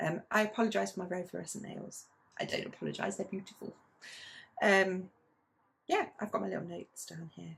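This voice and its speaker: Talking at a fairly quick pace, a woman leaves long, frequent pauses and her loudness swings widely. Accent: British. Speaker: knitting vlogger. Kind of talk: casual chat.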